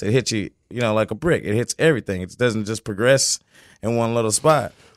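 The recording is very clean, the background silent. The man talks fairly quickly, his pitch varying in an ordinary way. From US, military family, moved often. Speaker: chef. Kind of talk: casual chat. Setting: studio. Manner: casual, laid-back.

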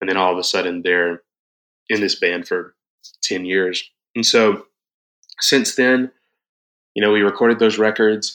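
Pausing long and often, a man with a Southern US accent and fairly low pitch talks at a moderate pace with fairly even intonation. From South Georgia, US. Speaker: worship leader and band musician. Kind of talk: casual interview chat.

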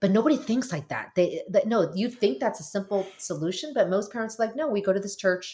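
Somewhat breathy, with a dark, mellow tone, a woman speaks with an American accent, using lively intonation and hardly any pauses. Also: medium pitch for a woman, fairly quick pace. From US (Korean American, arrived as infant). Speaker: marriage and family therapist. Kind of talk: casual interview.

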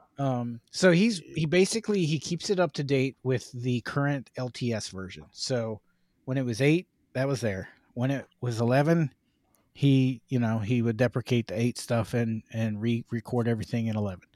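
In a very clean recording with a silent background and a dry, close sound with no echo, a man with a plain, everyday voice speaks at a moderate pace in a medium pitch with ordinary pitch variation. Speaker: podcast co-host. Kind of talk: casual banter podcast chat. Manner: sarcastic, off the cuff, joking.

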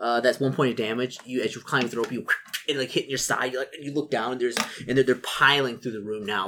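The passage is read aloud plainly.

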